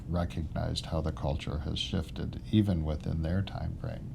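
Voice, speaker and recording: Audible room echo, with music playing in the background. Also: man. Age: 60s. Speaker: podcast host. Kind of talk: interview conversation.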